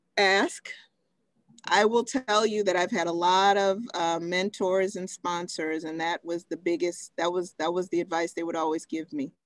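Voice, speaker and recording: A normal speaking voice from a woman with an American accent, moderate in pace, with ordinary pitch variation and a dry, close sound with no echo. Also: medium pitch for a woman. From Texas. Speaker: pharmaceutical medical director, invited speaker. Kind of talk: Q&A in a virtual talk. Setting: video call.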